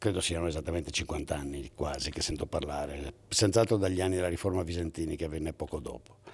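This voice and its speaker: Talking at a very fast pace with hardly any pauses, the voice shows vocal fry and ordinary pitch variation. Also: man, very deep, low pitch for a man. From Italy, Veneto (Padua); Veneto, Italy. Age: 60s. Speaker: economics professor. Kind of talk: interview; interview answer. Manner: halting, with self-corrections. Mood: argumentative, lively. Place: hall. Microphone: handheld.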